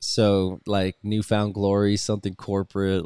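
An ordinary speaking voice carries an American accent at a moderate pace. The sound is dry and close, with no echo. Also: man. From US West Coast, Los Angeles. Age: 30s. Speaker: touring rock musician, band frontman. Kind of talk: casual chat. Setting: video call.

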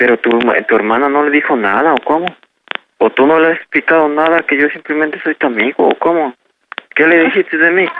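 With a plain, everyday voice, a man speaks at a fairly quick pace with a fairly high pitch, ordinary pitch variation and very even loudness. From Mexico, Puebla. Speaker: prank call victim. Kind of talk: phone conversation. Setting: phone call.

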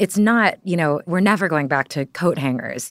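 A woman with an American accent speaks at a fairly quick pace with ordinary pitch variation, in a very clean recording with a silent background and a dry, close sound with no echo. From Texas. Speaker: journalist. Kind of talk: casual chat. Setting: studio.

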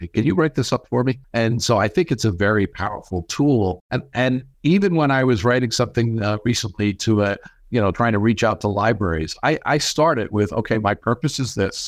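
In a normal speaking voice, a man talks at a fairly quick pace with an American accent and ordinary pitch variation. His loudness stays very even over a quiet background. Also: medium pitch for a man. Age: 60s. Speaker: marketing expert and author. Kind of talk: interview conversation.

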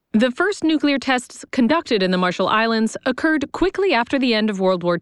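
A woman's serious-toned voice, fairly high-pitched, with very wide swings in pitch. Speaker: narrator. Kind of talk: history documentary narration. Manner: measured, formal, even-paced; serious, authoritative.

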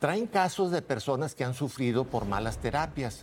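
In a normal speaking voice, a man talks at a moderate pace with lively intonation. His pitch sits fairly high. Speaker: conservative family-group spokesman. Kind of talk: heated debate.

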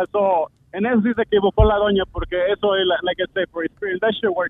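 A man's high-pitched voice at a fairly quick pace. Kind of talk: casual chat. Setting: phone call. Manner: code-switching Spanish and English.

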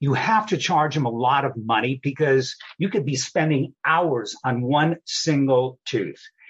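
A man's fairly high, somewhat breathy voice with an American accent, a fairly slow pace, hardly any pauses, ordinary pitch variation and very even loudness. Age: 70s. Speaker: dental lab owner. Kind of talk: interview.

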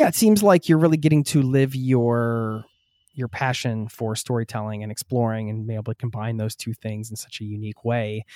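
On a very clean recording with a silent background and a dry, close sound with no echo, a man with a dark, mellow tone speaks at medium pitch and a fairly quick pace, his loudness swinging widely. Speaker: travel podcast host. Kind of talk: casual interview chat.

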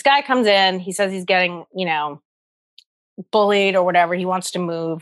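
Speaking with a New York accent, a woman keeps a moderate pace. She leaves long, frequent pauses. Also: medium pitch for a woman, ordinary pitch variation. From US Northeast, the Bronx, New York. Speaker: stand-up comedian. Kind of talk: casual chat.

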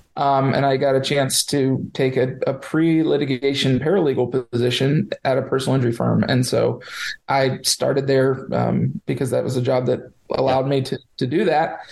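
With an American accent, a man speaks at medium pitch and a moderate pace, his intonation fairly even and his loudness very even, over noticeable background noise. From Florida, Sarasota area. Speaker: lawyer. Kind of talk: interview.

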